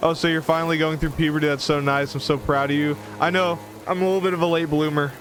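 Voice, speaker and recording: A man talks at a very fast pace with very even loudness and fairly even intonation, with noticeable background noise behind him. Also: fairly high pitch for a man. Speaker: gaming streamer. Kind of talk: live game commentary. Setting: live stream. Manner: casual, conversational.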